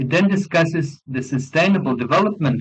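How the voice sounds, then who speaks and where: This man has a non-native accent and a somewhat breathy voice. He talks at a moderate pace. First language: not English. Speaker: law professor and conference speaker. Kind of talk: academic conference presentation. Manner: formal.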